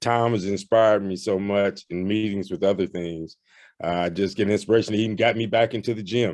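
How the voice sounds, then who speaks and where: A man talks fairly quickly in a fairly low voice with fairly even intonation. The background is quiet. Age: 60s. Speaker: formerly incarcerated person, participant. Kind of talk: testimony. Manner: halting.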